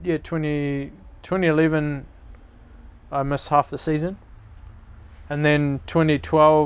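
Against a silent background on a very clean recording, a man with a New Zealand accent talks very slowly in a fairly high, monotone, flat voice, with long, frequent pauses. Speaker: mountain bike racer. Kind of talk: casual interview. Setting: outdoors.

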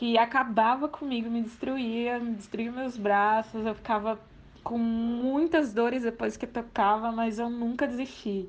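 This is a normal speaking voice. It moves fairly slowly. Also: woman. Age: 20s. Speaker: percussionist. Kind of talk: testimony.

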